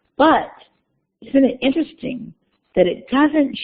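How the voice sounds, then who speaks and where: A slight breathiness runs through the voice. It belongs to a woman. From US South. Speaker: university lecturer. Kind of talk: lecture. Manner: conversational.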